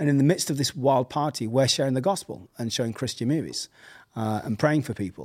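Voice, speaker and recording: This man speaks at a fairly quick pace in an English accent. His pitch is medium, with ordinary variation. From England. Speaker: pastor and surf-church director. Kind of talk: casual interview chat.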